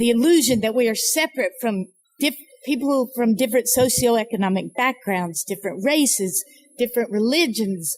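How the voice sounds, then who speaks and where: Using a plain, everyday voice, a woman with an American accent speaks at a moderate pace, her fairly high pitch carried by lively intonation. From US South, North Carolina mountains. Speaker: nonprofit founder and speaker. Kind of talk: speech. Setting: fundraising breakfast event. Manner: reflective, measured.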